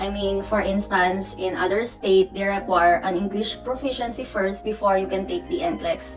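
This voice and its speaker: A woman with a Filipino accent speaks at a moderate pace and medium pitch, her intonation lively. Music plays in the background. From Philippines. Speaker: nurse. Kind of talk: casual talk to camera.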